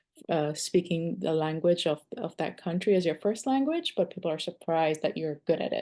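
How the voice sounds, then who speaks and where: A woman speaks at a fairly quick pace in a dark, mellow tone against a quiet background. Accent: non-native. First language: not English. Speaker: webinar participant. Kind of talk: discussion comment.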